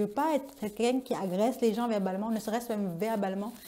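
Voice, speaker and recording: A fairly high-pitched woman's voice with ordinary pitch variation. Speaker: vlogger. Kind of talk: personal vlog monologue. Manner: very expressive, energetic.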